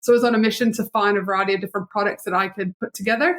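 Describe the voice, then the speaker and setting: At a very fast pace, a woman of medium pitch speaks with a monotone, flat intonation in a dry, close sound with no echo. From Canada. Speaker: business strategist and entrepreneur. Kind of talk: podcast interview.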